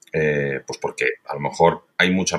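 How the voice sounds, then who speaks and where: This man's tone is bright and sharp. The background is silent, the recording very clean. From Spain, Valencia. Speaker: radio executive. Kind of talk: interview.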